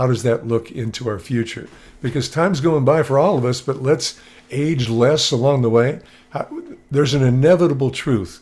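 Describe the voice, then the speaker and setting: A man's medium-pitched voice with ordinary pitch variation at a moderate pace. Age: 60s. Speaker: motivational speaker. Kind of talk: presentation on video call. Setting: video call with screen share. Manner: casual, animated.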